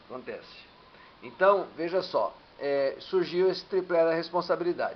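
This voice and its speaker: With ordinary pitch variation and a moderate pace, a man talks in a space with audible room echo. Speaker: teacher. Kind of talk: lecture. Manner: halting.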